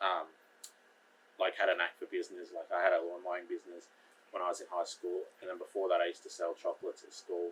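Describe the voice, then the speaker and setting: This man talks with an Australian accent at a very fast pace. His loudness swings a great deal. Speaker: carpenter. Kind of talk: casual chat.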